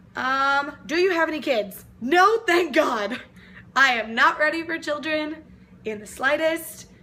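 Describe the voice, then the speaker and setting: At a fairly slow pace, a woman uses a raised, projected voice, high in pitch with lively intonation. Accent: American. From Texas (Lufkin, East Texas). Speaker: vlogger. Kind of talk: casual vlog Q&A. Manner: loud; animated.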